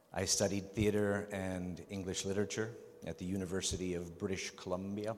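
A man talks at a fairly quick pace in a fairly low pitch. His delivery is monotone and flat. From Canada (Vancouver), Czech-born. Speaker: actor. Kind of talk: convention panel Q&A. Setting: stage with audience. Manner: halting, repetitive.

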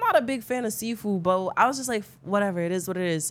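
With noticeable background noise behind her, a woman speaks in an animated tone with very wide pitch swings. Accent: American. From New York, the Bronx. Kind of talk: casual storytelling chat.

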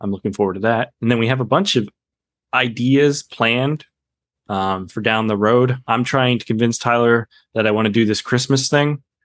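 In a dry, close sound with no echo and a quiet background, a man with an ordinary speaking voice talks at medium pitch and a moderate pace with fairly even intonation. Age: 30s. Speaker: documentary editor. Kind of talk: casual interview.

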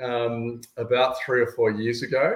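The speaker is a man. He has an Australian accent. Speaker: sports fan guest. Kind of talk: casual interview chat.

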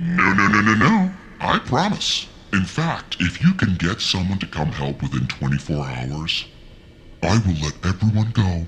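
Clear background noise sits behind a man in a put-on character voice. His pitch is very deep and low, and his pace is fairly slow. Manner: cheerful, playfully menacing.

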